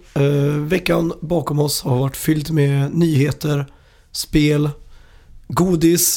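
At a very slow pace, a man with a fairly high pitch and a dark, mellow tone speaks in a monotone, flat intonation at very even loudness. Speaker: video game podcast host. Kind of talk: casual chat.

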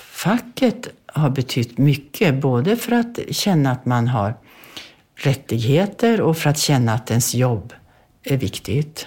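A woman's very deep, low, somewhat breathy voice with a dark, mellow tone, very wide pitch swings and a very slow pace. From Sweden, Bergslagen. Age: 80s+. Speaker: author. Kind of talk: interview.

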